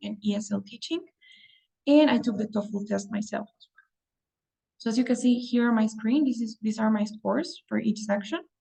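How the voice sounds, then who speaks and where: A woman with a Spanish accent, fairly high in pitch, with a dark, mellow tone, somewhat breathy, at a moderate pace. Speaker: English test prep teacher. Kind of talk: online class. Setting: video call.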